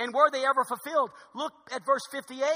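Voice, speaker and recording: A man's raised, projected voice, extremely high and bright, sharp in tone, at a fairly quick pace with a dry, close sound with no echo. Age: 50s. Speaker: pastor. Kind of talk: sermon. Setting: church. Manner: fast.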